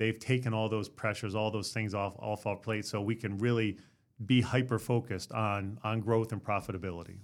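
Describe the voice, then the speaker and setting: A man with a normal speaking voice talks fairly quickly at a fairly low pitch. His intonation stays fairly even in a very clean recording with a silent background. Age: 50s. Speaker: insurance agency owner. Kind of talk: podcast interview. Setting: studio.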